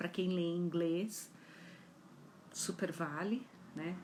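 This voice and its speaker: A woman's fairly low, somewhat breathy voice at a very slow pace. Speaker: psychology educator. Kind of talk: live talk.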